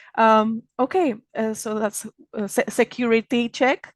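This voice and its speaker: The sound is dry and close, with no echo. A woman speaks at a fairly high pitch. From Czech Republic. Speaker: magazine founder and event organizer. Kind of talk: opening remarks at online event. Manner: halting, many fillers and restarts.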